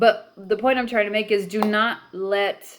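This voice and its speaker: With an American accent and a stern tone, a woman speaks at a fairly slow pace in a fairly high pitch, on a very clean recording with a silent background. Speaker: spiritual practice YouTuber. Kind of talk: vlog monologue. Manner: stern, adamant.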